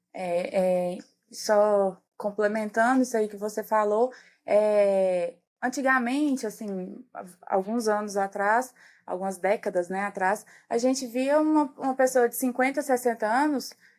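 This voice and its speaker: A normal speaking voice from a woman, fairly high in pitch with ordinary pitch variation, at a fairly slow pace on a very clean recording with a silent background. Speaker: geriatrician. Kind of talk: podcast interview.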